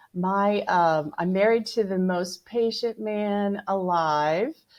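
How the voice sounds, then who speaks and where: A woman's voice with ordinary pitch variation. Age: 60s. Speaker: fitness transformation challenge winner. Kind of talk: podcast interview. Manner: animated.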